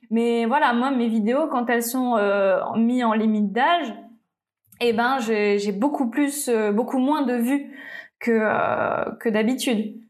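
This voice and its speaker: In a room with audible echo, a woman with a fairly high pitch speaks at a very slow pace, her intonation fairly even and her loudness very even. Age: 20s. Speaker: YouTuber and tattoo studio owner. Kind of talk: casual interview.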